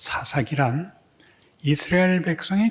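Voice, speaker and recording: This man speaks with lively intonation. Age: old. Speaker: pastor. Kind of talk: sermon. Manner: slurred articulation with hesitations.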